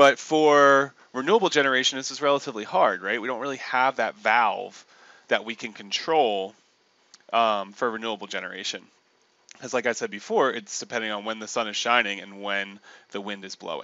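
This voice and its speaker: A man with an American accent talks at a fairly quick pace, with ordinary pitch variation and big swings in loudness, in a dry sound with no echo. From Delaware, US. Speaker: university lecturer on renewable energy. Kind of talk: recorded online lecture. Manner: casual with many filler ums.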